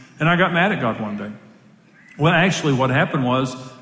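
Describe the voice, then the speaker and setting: Amid noticeable background noise, a man talks very fast at a medium pitch. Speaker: pastor. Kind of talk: sermon. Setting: stage with audience. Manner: animated.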